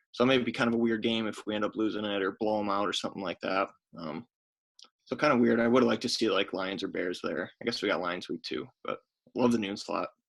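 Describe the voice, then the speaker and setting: Quiet and fairly low-pitched, a man talks at a very fast pace with ordinary pitch variation. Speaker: podcast co-host. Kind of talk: casual chat. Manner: quiet, hushed.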